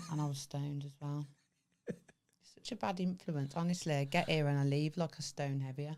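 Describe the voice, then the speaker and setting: A woman speaks with a Birmingham accent at a very deep, low pitch and with fairly even intonation. Her pace is fairly quick, with long, frequent pauses. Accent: Brummie. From Birmingham, England. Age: 30s. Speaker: podcast co-host. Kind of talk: casual chat.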